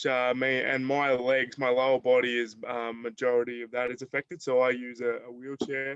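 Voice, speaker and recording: A man with an Australian accent talks at a fairly quick pace and medium pitch, his intonation monotone and flat. The sound is dry and close, with no echo. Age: 20s. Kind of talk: presentation to online audience. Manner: halting, many fillers.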